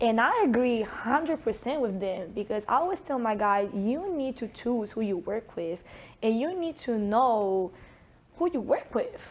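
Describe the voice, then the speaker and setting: The speech carries a strong Italian accent and lively intonation. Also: woman, fairly high pitch for a woman, moderate pace. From Italy. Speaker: sports performance coach. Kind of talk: interview.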